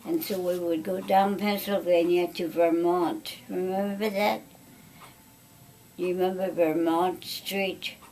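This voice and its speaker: A woman talks at a very slow pace and a medium pitch. Her intonation stays fairly even over noticeable background noise. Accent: American. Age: 90s. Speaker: family elder recounting memories. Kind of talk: oral history interview. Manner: halting.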